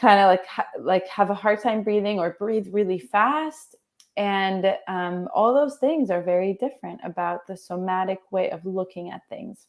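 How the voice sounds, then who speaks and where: A woman in a normal speaking voice talks at a moderate pace with medium pitch, ordinary pitch variation, big swings in loudness and hardly any pauses, on a very clean recording with a silent background. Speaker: transformational coach. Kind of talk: interview.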